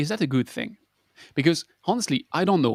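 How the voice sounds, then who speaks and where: A man with a French accent at a fairly high pitch, in a very clean recording with a silent background and a dry, close sound with no echo. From France. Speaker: water engineer co-host. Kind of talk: casual discussion.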